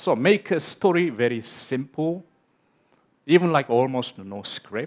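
Against a quiet background, a man with a Korean accent talks at a fairly slow pace with lively intonation. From South Korea. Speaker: film director; speaker. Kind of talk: conference talk. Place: stage. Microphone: headset.

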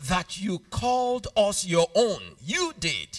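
There is a man talking. Little noise can be heard behind him. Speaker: preacher. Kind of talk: prayer then sermon. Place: church. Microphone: handheld.

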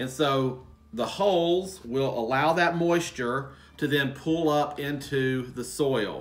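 A man's voice with ordinary pitch variation. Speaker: gardening channel host. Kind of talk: tutorial. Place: home room.

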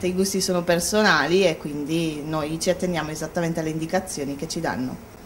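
Here is a woman with an ordinary speaking voice, fairly low in pitch, talking at a fairly quick pace with fairly even intonation. Light background noise can be heard. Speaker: sales manager. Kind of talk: interview. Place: shop.

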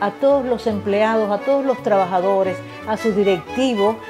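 A woman speaks with ordinary pitch variation while music plays clearly in the background. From Cuba. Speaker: radio announcer and host. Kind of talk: congratulatory message to camera. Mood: warm, grateful. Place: home room.

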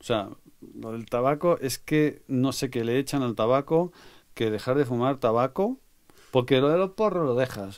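In a very clean recording with a silent background, a man with a plain, everyday voice speaks at a medium pitch with ordinary pitch variation. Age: 60s. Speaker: music producer. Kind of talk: interview.

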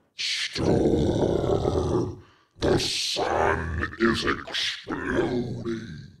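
Growling in a put-on character voice, a man speaks at a medium pitch. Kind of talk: news commentary.

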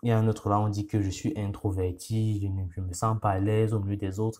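In a very clean recording with a silent background, a man with a non-native accent speaks in a fairly low pitch. His somewhat breathy, dark, mellow tone stays monotone and flat. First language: not French (speaking French). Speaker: YouTuber. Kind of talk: casual monologue. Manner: hesitant, many fillers.

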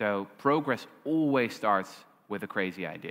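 A man with a Dutch accent and a lively, bouncing intonation, against a quiet background. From Netherlands. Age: 20s. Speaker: historian and author; guest. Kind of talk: onstage interview. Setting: stage with audience. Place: stage. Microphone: headset.

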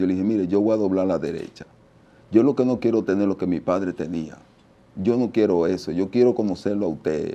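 A man with a Dominican accent talks at a fairly quick pace in a dark, mellow tone, his fairly low voice showing ordinary pitch variation. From Dominican Republic, La Romana; Dominican Republic. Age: 50s. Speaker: merengue percussionist; interview guest. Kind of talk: interview testimony. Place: studio. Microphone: lapel.

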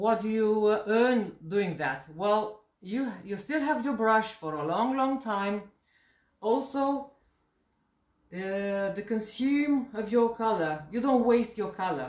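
A woman's slightly mellow voice at medium pitch, with lively intonation and a slow pace

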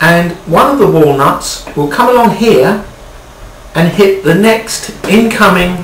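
Very slow speech at a very even volume, with ordinary pitch variation, light background noise and audible room echo. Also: man, high pitch for a man. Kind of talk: humorous explanation. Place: home room. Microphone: camera far.

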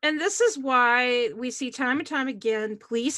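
Against a quiet background, a woman talks at a moderate pace in a high voice with a bright, sharp tone and lively intonation. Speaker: YouTuber and show host; YouTuber, show host. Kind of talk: casual panel discussion. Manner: laughs often. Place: home room. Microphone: webcam.

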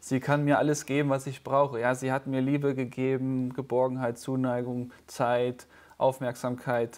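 A man at a moderate pace, monotone and flat in intonation. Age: 30s. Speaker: pastor. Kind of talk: casual chat. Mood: calm, personal, reflective. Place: studio. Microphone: lapel.

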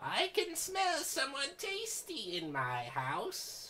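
This is a put-on character voice, squeaky and high in pitch. It moves at a very slow pace. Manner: menacing.

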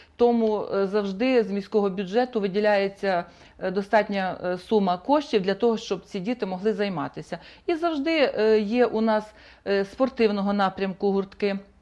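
Set against a quiet background, a woman is speaking. Her pitch varies in an ordinary way, and her pace is moderate. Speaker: guest. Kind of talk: interview answer. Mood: calm, official, informative. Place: studio. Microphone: lapel.

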